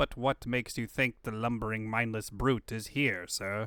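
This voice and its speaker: In a very clean recording with a silent background, a man puts on a character voice at a medium pitch and a moderate pace. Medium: fan dub. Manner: deferential, addresses master as sir.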